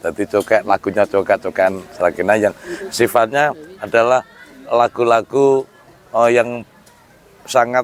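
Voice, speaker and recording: Against noticeable background noise, a man talks at medium pitch and a fairly slow pace. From Central Java, Sragen. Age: 50s. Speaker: traditional music expert. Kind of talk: interview. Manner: halting.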